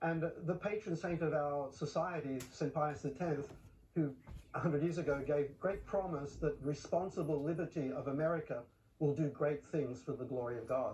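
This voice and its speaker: With an Australian accent, a man talks at a moderate pace in a fairly high, somewhat breathy voice with ordinary pitch variation. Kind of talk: TV news interview.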